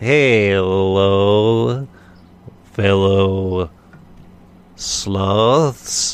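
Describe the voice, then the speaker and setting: Using a put-on, robotic character voice, a man speaks in a fairly low pitch. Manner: slow.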